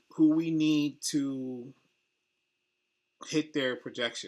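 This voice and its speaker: Against a quiet background, a soft-spoken man talks at a very slow pace with ordinary pitch variation. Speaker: sports betting YouTuber. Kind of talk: casual solo talk-through tutorial. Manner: soft-spoken, low; casual, filler-heavy.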